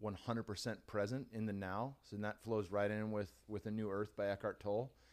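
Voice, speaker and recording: On a very clean recording with a silent background, a man with a plain, everyday voice and a fairly low pitch speaks at a moderate pace. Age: 30s. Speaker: former mixed martial artist and podcast host. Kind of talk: casual interview. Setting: studio.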